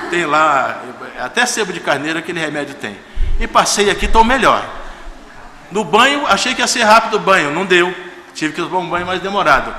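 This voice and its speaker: Speaking at a fairly quick pace with lively intonation, a man uses a high pitch and leaves long, frequent pauses. Audible room echo and noticeable background noise fill the recording. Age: 60s. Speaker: guest pastor. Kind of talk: sermon. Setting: church service. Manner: informal, conversational.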